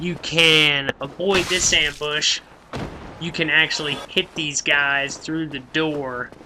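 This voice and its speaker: A man's fairly high, flat monotone with an American accent, very slow, over noticeable background noise. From Oklahoma City, US. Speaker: gaming youtuber. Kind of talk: let's play commentary. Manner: casual, hesitant with fillers.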